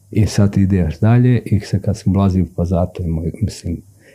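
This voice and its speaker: Somewhat breathy and dark, mellow in tone, a man speaks at a very deep, low pitch with fairly even intonation. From Serbia, Sandžak (Novi Pazar). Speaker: writer and poet. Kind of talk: casual interview.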